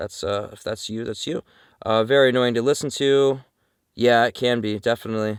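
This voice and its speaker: A man speaks at a fairly quick pace and medium pitch, with big swings in loudness. The recording is very clean with a silent background and a dry, close sound with no echo. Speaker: van-dwelling vlogger. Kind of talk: casual Q&A vlog. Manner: frequent ums and uhs; casual, conversational.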